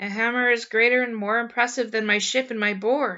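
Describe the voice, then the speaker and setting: Using a put-on character voice, a woman talks at a fairly quick pace with fairly high pitch. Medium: read story.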